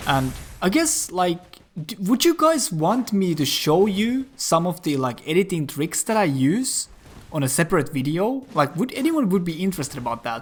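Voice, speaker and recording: A man's high-pitched voice at a moderate pace, with very wide pitch swings. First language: not English (self-taught English). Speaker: gaming YouTuber. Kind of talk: casual gameplay commentary. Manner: filler-heavy, frequent 'like' and restarts.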